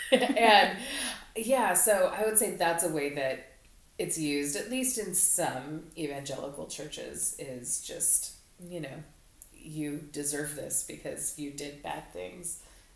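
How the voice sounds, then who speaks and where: In a room with audible echo, a woman speaks very slowly at a fairly low pitch, her intonation lively and her loudness swinging widely. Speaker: podcast co-host. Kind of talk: casual chat.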